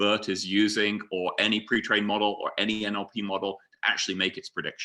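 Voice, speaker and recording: In a British accent, a man speaks at a fairly low pitch with a bright, sharp tone. He moves at a fairly quick pace on a very clean recording with a silent background. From UK. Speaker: data scientist, conference speaker. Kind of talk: conference presentation.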